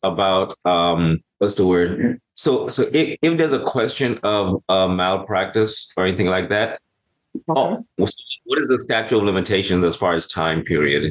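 The delivery has a moderate pace and lively intonation in a normal speaking voice. It sounds dry and close, with no echo. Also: man. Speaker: audience member asking questions.

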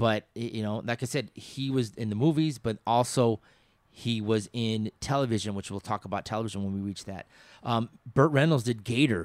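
In an unremarkable speaking voice, a man talks at a moderate pace with medium pitch and ordinary pitch variation, the sound dry and close with no echo and the recording very clean over a silent background. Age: 50s. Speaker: podcast host. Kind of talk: casual chat.

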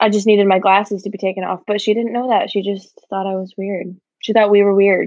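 A woman with a Midwestern American accent at a fairly quick pace, in a monotone, flat intonation. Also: medium pitch for a woman. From Michigan, small town. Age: 20s. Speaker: podcast co-host. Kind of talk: casual chat. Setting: video call.

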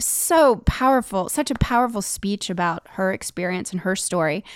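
Very clean and silent in the background, the dry, close recording carries a woman's plain, everyday voice at medium pitch. She talks at a fairly quick pace with lively intonation and hardly any pauses. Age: 40s. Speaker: podcast co-host and musician. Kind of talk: casual chat.

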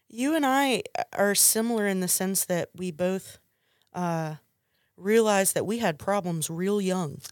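A woman with an ordinary speaking voice, medium pitch and lively intonation speaks at a fairly slow pace. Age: 30s. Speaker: guest sharing addiction recovery story. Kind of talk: testimony.

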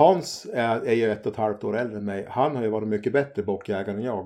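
Against a quiet background, the voice carries a dark, mellow tone. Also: man. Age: 50s. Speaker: hunter. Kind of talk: casual chat.

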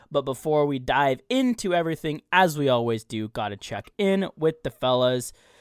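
A man with a plain, everyday voice: medium pitch, lively intonation, moderate pace, dry and close with no echo, on a very clean recording with a silent background. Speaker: podcast host. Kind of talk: casual sports podcast chat.

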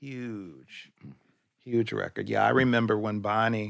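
An ordinary speaking voice from a man with an American accent, fairly low in pitch, fairly slow, with fairly even intonation. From US Midwest. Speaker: podcast co-host. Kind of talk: casual interview. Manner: frequent short backchannel affirmations.

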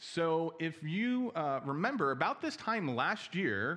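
This man speaks at a high pitch with very wide pitch swings, in an American accent. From New Jersey. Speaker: preacher. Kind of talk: sermon.

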